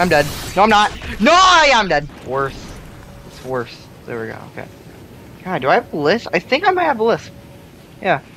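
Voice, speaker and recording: Over noticeable background noise, the speaker goes at a moderate pace with long, frequent pauses. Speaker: gaming YouTuber. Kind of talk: gameplay commentary. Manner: animated.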